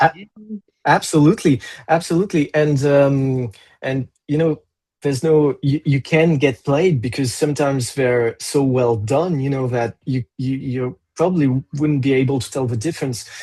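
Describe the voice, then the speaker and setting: A man with a French accent speaks at a moderate pace, his tone dark, mellow and somewhat breathy. His fairly high pitch shows ordinary pitch variation. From France. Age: 40s. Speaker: metal musician. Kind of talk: interview. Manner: halting.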